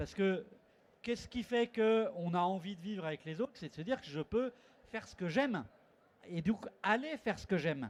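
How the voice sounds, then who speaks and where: A man's high-pitched voice at a moderate pace, with lively intonation, big swings in loudness, and long, frequent pauses. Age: 60s. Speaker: conference panelist, network representative. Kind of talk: conference panel talk. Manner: hesitant, with many fillers.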